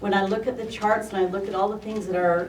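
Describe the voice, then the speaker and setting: Audible room echo surrounds a woman speaking at a moderate pace. Her pitch is medium and her intonation fairly even. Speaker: member of the public commenting. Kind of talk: public comment at meeting.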